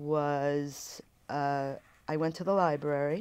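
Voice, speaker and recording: This woman's pitch is very deep and low. Her intonation stays fairly even. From Poland, Warsaw. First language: Polish. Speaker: oral history interviewee. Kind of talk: oral history interview. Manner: halting, with fillers and restarts.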